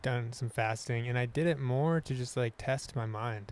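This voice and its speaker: This man has an ordinary speaking voice at medium pitch. He talks at a fairly slow pace with ordinary pitch variation. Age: 30s. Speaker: musician and outdoorsman. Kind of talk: casual chat.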